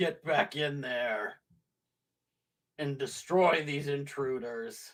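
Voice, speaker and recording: Using a put-on character voice, a man speaks gravelly and at a fairly high pitch, at a very slow pace. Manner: commanding, menacing.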